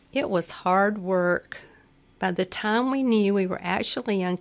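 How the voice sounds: You hear a natural reading voice. The pitch moves in an ordinary range.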